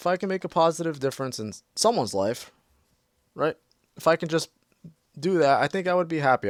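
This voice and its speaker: A man talks at a very fast pace, recorded with a dry, close sound that has no echo. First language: Portuguese. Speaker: mental health counselor and gaming youtuber. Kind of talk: casual gameplay commentary. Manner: halting, repetitive; calm, relaxed.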